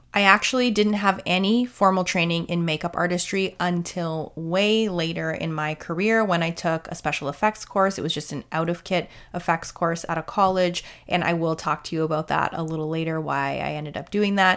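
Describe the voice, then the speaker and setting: A woman's normal speaking voice, fairly low and fairly quick with hardly any pauses and fairly even intonation, on a very clean recording with a silent background. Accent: Canadian. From Canada. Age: 40s. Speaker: makeup artist and podcast host. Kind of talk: solo podcast monologue.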